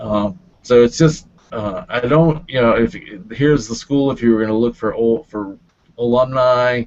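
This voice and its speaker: His pitch medium, a man speaks with ordinary pitch variation. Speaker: LinkedIn marketing presenter. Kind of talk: webinar presentation. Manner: slow; hesitant, many fillers.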